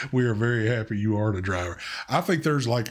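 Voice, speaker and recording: A man with a strong Southern US accent talks fairly quickly in a fairly low voice with ordinary pitch variation. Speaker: live stream co-host. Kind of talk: casual chat on live stream.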